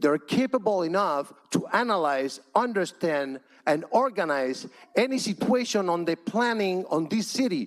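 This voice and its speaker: The voice carries a Cuban accent and swings very widely in pitch. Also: man. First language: Spanish. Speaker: public commenter at city council. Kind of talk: public comment. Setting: council chamber, packed room. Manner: impassioned.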